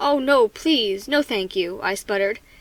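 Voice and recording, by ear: The words are being read aloud in a natural voice.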